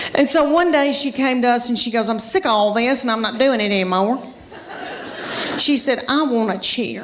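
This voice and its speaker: A woman at high pitch with an American accent, moderate pace and ordinary pitch variation, against noticeable background noise. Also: very even loudness. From Southern United States. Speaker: stand-up comedian. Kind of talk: stand-up comedy set.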